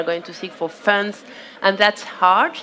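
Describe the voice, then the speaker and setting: With a French accent, a woman of medium pitch speaks at a moderate pace and fairly even intonation over noticeable background noise. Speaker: panelist from a food systems organization. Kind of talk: panel discussion. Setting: outdoor conference stage.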